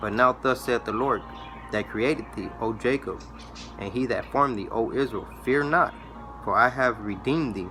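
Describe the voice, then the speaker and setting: A man speaks with music playing in the background. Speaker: religious video preacher. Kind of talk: bible teaching monologue. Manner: fast; repetitive, stammering.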